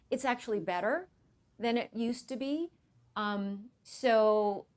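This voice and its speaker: At a very slow pace, a woman talks with a fairly high pitch and ordinary pitch variation. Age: 60s. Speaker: Pilates instructor. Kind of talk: interview.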